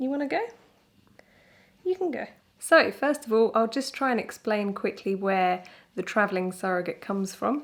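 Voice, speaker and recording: Speaking with a British accent, a woman uses a fairly high pitch and lively intonation at a moderate pace. Long, frequent pauses run through a very clean recording with a silent background. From Britain. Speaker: surrogate mother. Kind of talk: casual talk to camera.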